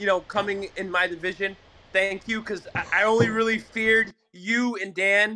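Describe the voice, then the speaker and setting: Raised and projected, a man's high-pitched voice carries at a moderate pace. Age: 60s. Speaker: caller, league member. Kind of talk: banter, playful argument. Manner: animated.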